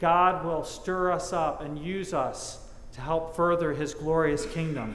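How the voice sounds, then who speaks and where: Audible room echo surrounds this man's voice. He speaks very slowly at a high pitch. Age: 50s. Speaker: pastor. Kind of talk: sermon. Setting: church. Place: church. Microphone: lapel.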